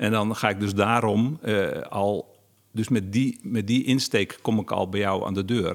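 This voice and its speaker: The speech is fairly slow, and its intonation stays fairly even. It is a plain, everyday voice. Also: man, fairly low pitch for a man. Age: 50s. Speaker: novelist and interviewer. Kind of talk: interview conversation.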